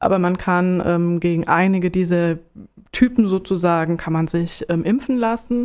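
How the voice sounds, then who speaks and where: A woman's fairly low voice, a normal speaking voice, at a moderate pace with ordinary pitch variation, in a very clean recording with a silent background. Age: 40s. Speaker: HIV counselor. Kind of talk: informative interview.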